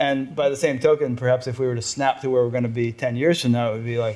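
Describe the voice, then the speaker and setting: A man talks very fast at a medium pitch with fairly even intonation. His tone is dark and mellow. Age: 60s. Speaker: podcast interviewer. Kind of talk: interview. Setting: in person at guest's house.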